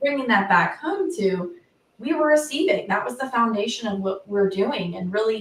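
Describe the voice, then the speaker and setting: This is a woman with an ordinary speaking voice. Her pitch is fairly high, with ordinary pitch variation. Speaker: intuitive coach and former psychotherapist. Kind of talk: casual conversation. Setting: livestream video call.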